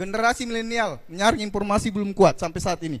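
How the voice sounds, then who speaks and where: His voice sits high, and this man's pitch moves up and down in an ordinary way. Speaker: election supervisory official. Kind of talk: public talk to students. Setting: stage with audience.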